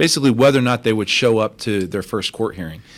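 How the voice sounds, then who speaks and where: A man has a normal speaking voice with an American accent. His pitch is fairly low, with ordinary pitch variation. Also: very clean recording, silent background. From Texas (Crosby, Houston area) and Mexico. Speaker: deputy city controller. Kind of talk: radio interview.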